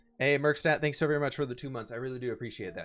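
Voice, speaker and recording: A man with a fairly high pitch talks over music in the background. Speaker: Minecraft live streamer. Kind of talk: casual live stream chat while gaming. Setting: live stream. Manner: stutter; casual, fumbling over words.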